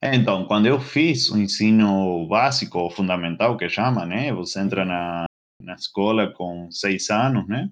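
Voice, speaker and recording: A man speaks with an Argentine accent at a fairly slow pace. His pitch is fairly low, with ordinary variation. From Argentina, Greater Buenos Aires. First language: Spanish (speaking Portuguese). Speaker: mechanical engineer and bartender. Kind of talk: casual interview chat. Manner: halting.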